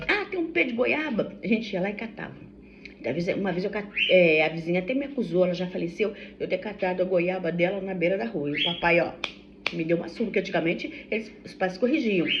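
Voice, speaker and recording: A woman's medium-pitched voice at a fairly quick pace, with very wide pitch swings, noticeable background noise, and audible room echo. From Brazil, Vassouras, Rio de Janeiro state. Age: 60s. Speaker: vlogger. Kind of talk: casual vlog chat. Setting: at home during breakfast. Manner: chatty, halting with self-corrections. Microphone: no microphone, phone recording.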